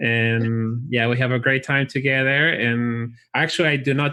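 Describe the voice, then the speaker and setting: At a moderate pace, a man with a Chilean accent speaks at medium pitch in a bright, sharp tone. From Chile (Santiago). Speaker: college recruiter for chiropractic school. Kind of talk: interview.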